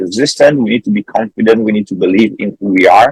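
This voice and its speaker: A man with an Italian accent at a very fast pace, in a dry, close sound with no echo. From Italy. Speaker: metal band singer. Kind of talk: interview. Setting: on a tour bus, remote call.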